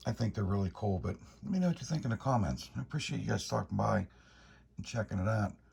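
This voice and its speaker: A man whispers at a very fast pace. His voice has vocal fry. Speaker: motorcycle vlogger. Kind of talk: casual vlog walkthrough. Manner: whispering; halting.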